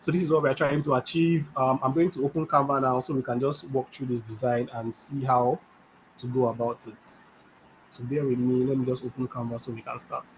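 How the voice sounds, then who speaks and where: A man's somewhat breathy, medium-pitched voice with fairly even intonation at a fairly quick pace. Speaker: design instructor. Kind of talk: tutorial.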